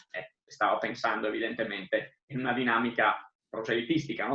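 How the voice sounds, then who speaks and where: This man has an Italian accent. His tone is bright and sharp. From Italy, Friuli Venezia Giulia. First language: Italian (speaking Spanish). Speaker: literature scholar. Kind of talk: lecture.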